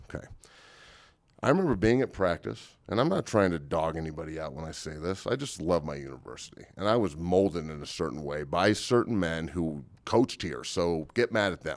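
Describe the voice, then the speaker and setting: Speaking at a fairly quick pace with an American accent, a man uses a very deep, low pitch, lively intonation and big swings in loudness, captured in a very clean recording with a silent background. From Santa Cruz, California. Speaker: former college football player. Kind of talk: pep talk. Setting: studio. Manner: fired-up, emphatic, rallying.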